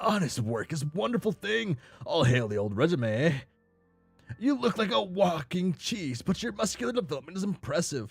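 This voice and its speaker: A man does a put-on character voice, raised and projected at a high pitch with very wide pitch swings. He keeps a moderate pace while faint music plays in the background. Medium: game stream.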